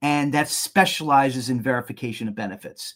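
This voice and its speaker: Pitched fairly high, a man's voice moves with ordinary pitch variation. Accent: New York. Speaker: business owner presenting a webinar. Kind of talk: webinar presentation. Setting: online webinar. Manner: repeats and restarts words.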